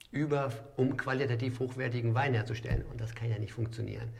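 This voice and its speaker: Amid audible room echo, a somewhat breathy man of medium pitch speaks at a fairly quick pace with fairly even intonation. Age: 40s. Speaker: restaurant owner and wine merchant. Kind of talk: casual chat.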